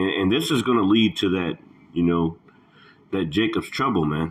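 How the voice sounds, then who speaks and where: There is noticeable background noise. Over it, a man speaks with a very deep, low pitch. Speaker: religious commentator. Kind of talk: reaction commentary. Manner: halting.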